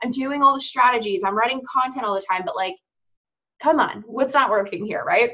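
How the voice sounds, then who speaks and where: Bright and sharp in tone, a woman talks at a high pitch and a fairly quick pace, sounding animated with lively intonation. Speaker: business coach. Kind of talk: online workshop.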